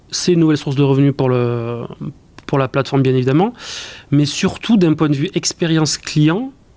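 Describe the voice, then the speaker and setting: A man speaks in a southwestern French accent. His pace is moderate. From southwestern France, southern Landes. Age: 30s. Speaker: e-commerce executive. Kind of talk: interview. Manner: hesitant, many repetitions.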